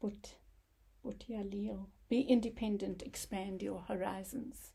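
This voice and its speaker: A woman speaks very slowly at a medium pitch, her dark, mellow tone somewhat breathy and her intonation fairly even. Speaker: tarot card reader. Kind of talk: tarot reading monologue. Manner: halting, with many fillers.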